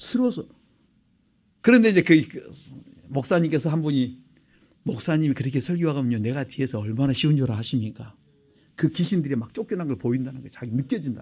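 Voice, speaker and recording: A man's somewhat breathy voice at a fairly quick pace, with very wide pitch swings. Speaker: pastor. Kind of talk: sermon. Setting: church. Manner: fast.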